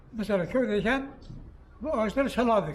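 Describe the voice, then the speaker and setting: Audible room echo surrounds a man speaking at a moderate pace. His pitch is high, with ordinary variation. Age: 80s+. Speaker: barrel maker. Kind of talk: interview.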